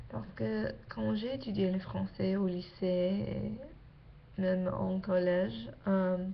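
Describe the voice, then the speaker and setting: Speaking very slowly with hardly any pauses, a woman with an English accent uses medium pitch and very wide pitch swings amid audible room echo. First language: English (speaking French). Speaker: exchange student vlogger. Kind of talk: casual vlog. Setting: webcam at home late at night. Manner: halting, many hesitations.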